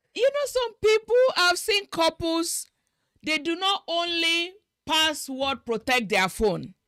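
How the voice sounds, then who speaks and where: A woman with a Nigerian accent speaks very slowly in a raised, projected voice, extremely high in pitch with very wide swings and a bright, sharp tone, recorded dry and close with no echo. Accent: Nigerian (Yoruba) English. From Nigeria (Yoruba-speaking). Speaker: marriage talk show host. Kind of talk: interview conversation.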